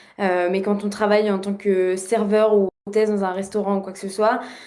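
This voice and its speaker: A woman speaks at a fairly slow pace in a medium pitch with monotone, flat intonation, and audible room echo surrounds her voice. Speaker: former exchange student. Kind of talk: casual podcast interview. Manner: hesitant, many fillers.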